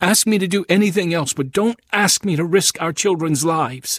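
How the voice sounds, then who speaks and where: Using a put-on character voice, a man speaks high-pitched at a moderate pace, with ordinary pitch variation in a dry, close sound with no echo. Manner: sobbing, pleading.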